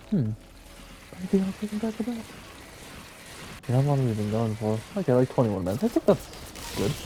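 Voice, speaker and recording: A man talking at a very fast pace with very wide pitch swings, long and frequent pauses, and noticeable background noise. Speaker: gaming youtuber. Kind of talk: casual gameplay commentary. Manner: casual, rambling with fillers.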